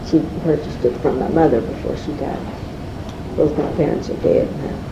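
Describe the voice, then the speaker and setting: A woman at a fairly quick pace, with audible room echo and noticeable background noise. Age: 70s. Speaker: oral history interviewee. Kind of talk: oral history interview. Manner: halting, many fillers.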